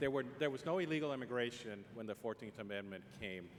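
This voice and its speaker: A man talks with a Spanish accent. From Puerto Rico. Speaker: congressman questioning a witness. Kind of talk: congressional hearing questioning.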